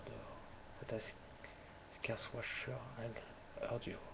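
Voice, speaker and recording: A man whispers with a French accent. Noticeable background noise sits behind him. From France. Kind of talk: ASMR poetry reading. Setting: webcam recording, low quality.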